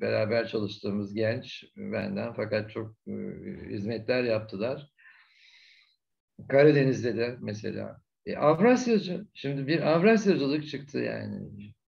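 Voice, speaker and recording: Audible room echo surrounds the speech. The man talks fairly slowly. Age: 70s. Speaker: retired ambassador, diplomat. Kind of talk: conference Q&A answer.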